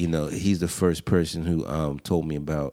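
On a very clean recording with a silent background, a man with an American accent speaks at a fairly quick pace in a very deep, low pitch, with a dark, mellow tone and monotone, flat intonation. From Pittsburgh, US. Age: 30s. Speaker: educator. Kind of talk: casual interview conversation.

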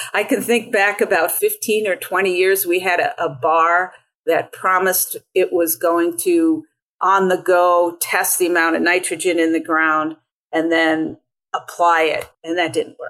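A woman speaks at a medium pitch with an American accent and a fairly slow pace. Her intonation stays fairly even, and the recording is very clean with a silent background. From Long Island, New York. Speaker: farmer. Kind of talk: casual interview conversation.

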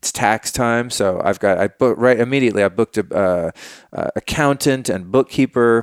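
A man with an unremarkable speaking voice comes through dry and close with no echo, in a very clean recording with a silent background. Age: 40s. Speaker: podcast host, wellness advocate. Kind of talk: casual chat.

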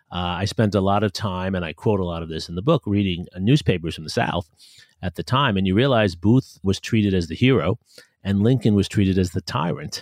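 A plain, everyday voice moves at a fairly quick pace with ordinary pitch variation, recorded dry and close with no echo against a quiet background. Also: man, fairly low pitch for a man. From New York City. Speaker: history professor. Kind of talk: interview.

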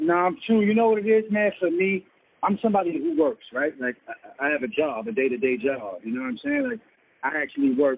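A high-pitched man with a New York accent, fairly quick in pace, with very wide pitch swings. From New York City (Brooklyn and Queens). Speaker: rapper. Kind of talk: casual interview. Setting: phone call.

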